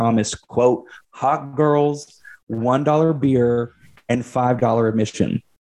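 A man speaks with a dark, mellow tone and ordinary pitch variation against a quiet background. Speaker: podcast co-host.

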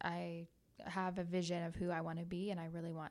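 A woman speaks at a very fast pace. Her pitch is fairly low, with a Midwestern American accent. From US Midwest (small town, southern Ohio). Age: 20s. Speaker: esthetician and business owner. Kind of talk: casual interview chat. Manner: animated.

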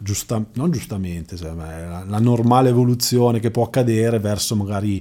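A man's fairly low voice has a dark, mellow tone and ordinary pitch variation. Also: very clean recording, silent background. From Lombardy, Milan province (Magenta, Robecco sul Naviglio). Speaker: amateur running club founder. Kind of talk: casual interview. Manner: hesitant, many fillers and repetitions.

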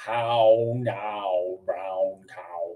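A man's put-on character voice, medium in pitch, with fairly even intonation. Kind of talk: radio announcer voice. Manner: exaggerated enunciation, over-articulated.

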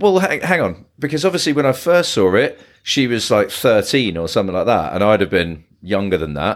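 Moderately paced speech in a British accent, very wide pitch swings, and hardly any pauses. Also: man, fairly low pitch for a man. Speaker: podcast co-host. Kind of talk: casual chat.

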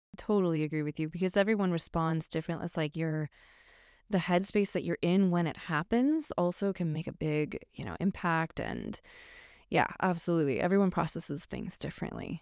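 With an American accent, a woman in an unremarkable speaking voice talks at a fairly quick pace and a fairly low pitch with ordinary pitch variation, the sound dry and close with no echo on a very clean recording with a silent background. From US Midwest, northern Illinois (Chicago suburbs). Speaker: musician. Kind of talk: casual interview chat. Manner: laughs often.

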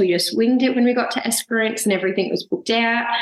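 Over noticeable background noise, a woman talks in an Australian accent. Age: 20s. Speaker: full-time traveller. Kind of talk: casual interview.

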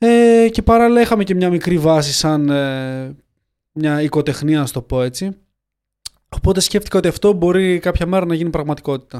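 A man talks at a moderate pace with a fairly high pitch and lively intonation. He has a normal speaking voice. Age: 20s. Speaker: clothing company founder. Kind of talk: interview.

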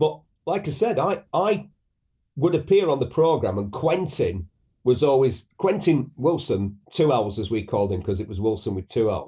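A man's medium-pitched, somewhat breathy voice in a northern English accent, with very wide pitch swings, at a moderate pace. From northern England. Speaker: motoring journalist and broadcaster. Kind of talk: radio interview.

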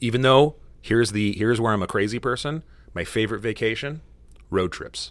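Recorded very cleanly against a silent background, a man with an American accent has an unremarkable speaking voice at a medium pitch with ordinary pitch variation. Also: fairly quick pace. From United States. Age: 40s. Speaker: lawyer and podcast co-host. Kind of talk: casual chat.

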